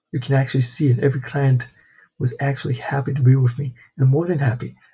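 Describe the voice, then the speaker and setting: Somewhat breathy, a man speaks at a fairly high pitch. His pace is fairly quick. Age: 20s. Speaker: vlogger, entrepreneur. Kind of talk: personal vlog monologue.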